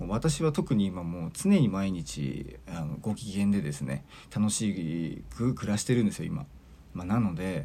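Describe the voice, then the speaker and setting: Very deep and low, this man's voice has a dark, mellow tone and vocal fry. His pitch swings very widely. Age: 40s. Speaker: podcast host and mental coach. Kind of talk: solo monologue podcast. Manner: casual, filler-heavy.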